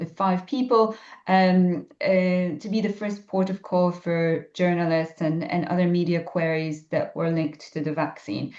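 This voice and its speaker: A woman speaks with a Polish accent. Her pitch variation is ordinary. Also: fairly low pitch for a woman, moderate pace. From Poland. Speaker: ecologist and science communicator. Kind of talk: podcast interview. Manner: hesitant, many fillers.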